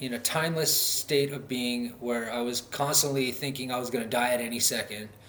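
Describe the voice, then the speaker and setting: Noticeable background noise and audible room echo surround a man with an American accent who speaks at medium pitch with fairly even intonation. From North Dakota, US Midwest. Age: 30s. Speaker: vlogger, recovery advocate. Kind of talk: personal vlog monologue. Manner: halting, many fillers.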